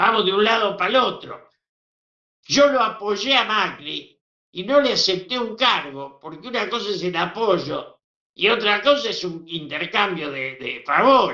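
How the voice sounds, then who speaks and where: High-pitched man's voice, raised and projected, with a Rioplatense accent, lively intonation and a fairly slow pace. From Argentina. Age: 80s+. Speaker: veteran politician. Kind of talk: interview.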